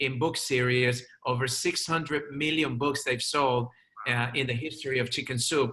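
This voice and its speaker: At a moderate pace, a man with a non-native accent speaks in a bright, sharp tone. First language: not English. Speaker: chiropractor and media speaker. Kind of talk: interview.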